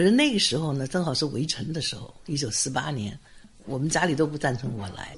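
Somewhat breathy, a man with a fairly high pitch speaks at a fairly quick pace with lively intonation. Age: 80s+. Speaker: retired literature professor. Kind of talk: interview. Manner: brisk, light speech.

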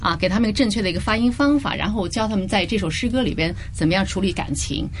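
Ordinary pitch variation marks a woman's voice, recorded with audible room echo. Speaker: language center founder and Mandarin teacher. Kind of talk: radio interview. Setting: radio studio.

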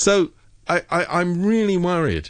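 A man speaks with a British accent. The background is quiet. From Britain. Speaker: political commentator. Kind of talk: radio interview. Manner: animated.

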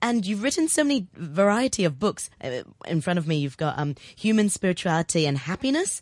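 Warm and enthusiastic in tone, a woman speaks at a fairly low pitch and a fairly quick pace. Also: quiet background. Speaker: radio host. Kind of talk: radio interview. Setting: radio studio. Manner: warm, enthusiastic.

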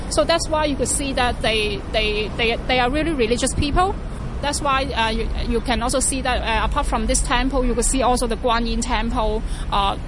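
Through audible room echo and noticeable background noise, a woman speaks at a moderate pace in a high pitch with ordinary pitch variation. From Hong Kong, North Point. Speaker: tour guide. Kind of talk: guided walking tour. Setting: outdoors. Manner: hesitant, many fillers and repeats.

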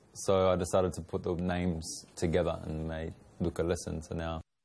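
In a very clean recording with a silent background, a man with an Australian accent speaks in a dark, mellow tone. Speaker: spoken word poet and rapper. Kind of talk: interview.

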